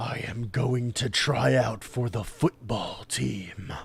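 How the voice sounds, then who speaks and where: A man's growling, put-on character voice, very slow, medium in pitch, with ordinary pitch variation. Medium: read story.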